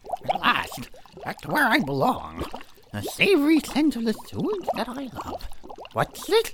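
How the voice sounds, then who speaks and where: A put-on character voice with a pompous tone comes through at a fairly high pitch. It moves at a moderate pace. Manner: pompous, affected, imperious.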